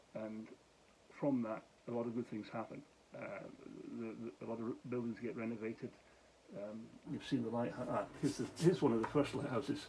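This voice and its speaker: A man's fairly quick, fairly even-toned speech with long, frequent pauses and noticeable background noise. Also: medium pitch for a man. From Scotland, Glasgow. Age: 60s. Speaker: vlogger and charity founder. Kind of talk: casual vlog to camera. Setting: at home talking to camera. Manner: slightly slurred speech; halting, many fillers.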